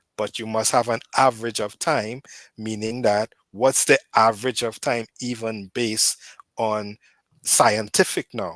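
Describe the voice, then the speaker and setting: A man of medium pitch with a Caribbean accent talks at a fairly slow pace with fairly even intonation, in a very clean recording with a silent background and a dry, close sound with no echo. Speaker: debate caller defending Adventist views. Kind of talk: heated debate. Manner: repetitive, frequent fillers like right and so.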